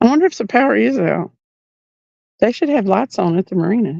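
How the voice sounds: With a Tennessee accent and a dark, mellow tone, the speaker uses very wide pitch swings and long, frequent pauses, heard in a dry, close sound with no echo. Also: woman. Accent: Tennessee drawl.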